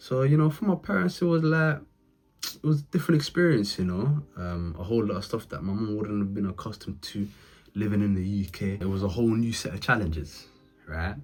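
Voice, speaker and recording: Here a man speaks fairly quickly in a fairly low, somewhat breathy voice. His pitch swings very widely. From England, Leicester (East Midlands). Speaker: motivational YouTuber, former criminal turned businessman. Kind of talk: personal life story monologue. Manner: casual, filler-heavy.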